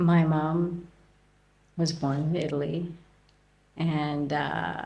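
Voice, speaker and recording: Slow to a very high degree, a woman with a Canadian accent speaks in a very deep, low pitch with fairly even intonation and audible room echo. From Canada. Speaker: podcast guest, expat. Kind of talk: interview.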